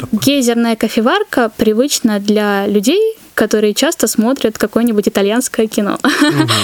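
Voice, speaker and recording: This woman has a normal speaking voice, fairly high in pitch with ordinary pitch variation. She speaks at a moderate pace, and the sound is dry and close with no echo. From North Caucasus, Russia. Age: 20s. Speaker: barista. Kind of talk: casual interview.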